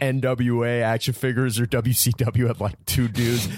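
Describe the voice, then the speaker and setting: A medium-pitched man with an American accent at a very slow pace, over noticeable background noise. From Buffalo, New York. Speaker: comedy writer and actor. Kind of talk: casual chat. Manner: animated.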